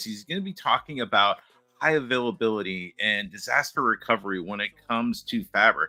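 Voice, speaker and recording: Over music in the background, a man of medium pitch talks at a moderate pace with ordinary pitch variation, the sound dry and close with no echo. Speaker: tech community show co-host. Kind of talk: casual panel chat.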